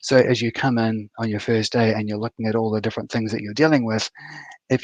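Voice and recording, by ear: With a New Zealand accent, a man speaks at a fairly low pitch and fairly quick pace, showing little pitch movement, in a dry, close sound with no echo.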